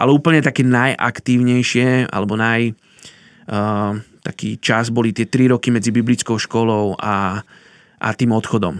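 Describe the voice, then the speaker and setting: A man with an ordinary speaking voice talks at a fairly slow pace and medium pitch with fairly even intonation, on a very clean recording with a silent background and a dry, close sound with no echo. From Slovakia. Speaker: missionary. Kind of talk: interview, personal story.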